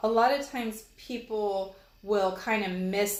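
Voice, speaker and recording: A woman speaks with an American accent and fairly even intonation. Audible room echo surrounds her voice. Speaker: college instructor. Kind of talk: lecture. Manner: hesitant, many fillers.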